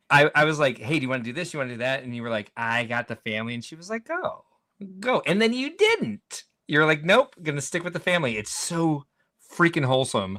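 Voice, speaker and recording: In an animated tone, a man with a fairly high pitch swings very widely in pitch and makes big swings in loudness. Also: fairly quick pace. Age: 40s. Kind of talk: casual chat.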